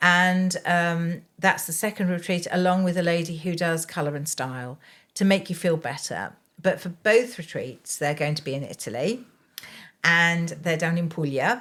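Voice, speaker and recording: On a very clean recording with a silent background, a woman with an English accent speaks at a moderate pace, her fairly low pitch showing ordinary variation. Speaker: care consultant. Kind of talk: interview. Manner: hesitant.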